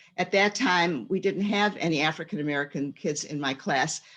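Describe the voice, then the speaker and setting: At a fairly slow pace, a woman speaks with a fairly low pitch and ordinary pitch variation. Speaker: retired teacher and storyteller. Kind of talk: panel presentation. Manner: halting, many fillers.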